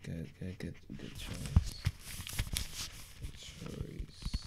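Loud background noise surrounds a man who talks very slowly. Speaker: artist in role-play. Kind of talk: ASMR role-play, casual talk to camera. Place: home room.

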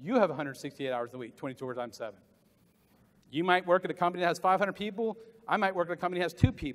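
In an American accent, the speaker races along at a very fast pace with an animated tone. Intonation is lively and loudness swings widely. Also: man, high pitch for a man. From US South. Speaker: motivational business speaker; motivational speaker. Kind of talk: conference keynote speech. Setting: stage with audience at conference. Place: hall.

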